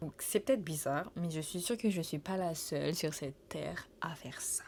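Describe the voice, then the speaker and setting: There is vocal fry in this woman's voice as she speaks at a moderate pace. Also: fairly low pitch for a woman, ordinary pitch variation. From Saint Martin, Caribbean. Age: 20s. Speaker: travel vlogger. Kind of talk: casual Q&A chat to camera. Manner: hesitant, many fillers and repetitions.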